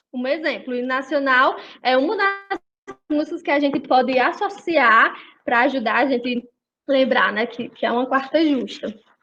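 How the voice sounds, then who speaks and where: Over music in the background, a woman projects her raised, high-pitched voice. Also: ordinary pitch variation, moderate pace. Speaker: music study group leader. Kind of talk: online group lesson.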